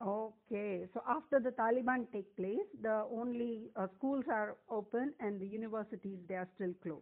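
In an ordinary speaking voice, a woman talks at a moderate pace with fairly high pitch, ordinary pitch variation and hardly any pauses. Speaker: podcast host. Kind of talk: interview.

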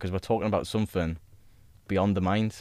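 In a very clean recording with a silent background and a dry, close sound with no echo, a man talks at a very fast pace. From grew up in the countryside. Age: 20s. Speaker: ex-paratrooper, personal trainer and life coach. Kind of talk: casual chat. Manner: calm.

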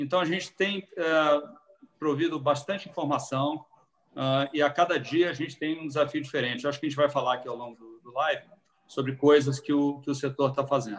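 This man talks fairly quickly in a fairly high voice, his pitch varying in an ordinary way, with long pauses coming often. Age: 50s. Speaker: restaurant franchise executive. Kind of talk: live-stream talk. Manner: halting.

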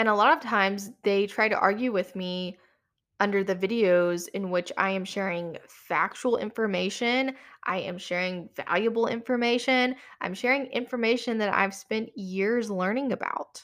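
The recording is very clean, with a silent background. The tone is animated, at a moderate pace with ordinary pitch variation. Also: woman, medium pitch for a woman. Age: 20s. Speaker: designer and podcast host. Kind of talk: solo podcast monologue.

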